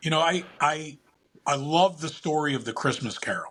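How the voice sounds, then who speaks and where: A man with a plain, everyday voice, at a moderate pace with ordinary pitch variation. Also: very clean recording, silent background. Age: 60s. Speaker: entrepreneur and investor. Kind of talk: interview.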